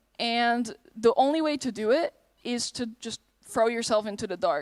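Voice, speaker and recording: A woman with a high pitch speaks with a slight Dutch accent. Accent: slight Dutch accent, often taken for American. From Netherlands. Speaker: convention panelist and streamer. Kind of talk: convention panel Q&A.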